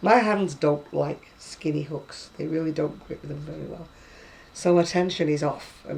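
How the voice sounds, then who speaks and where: A woman with a very deep, low pitch speaks at a fairly slow pace and with fairly even intonation, her loudness swinging widely against noticeable background noise. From northern England, Lancashire.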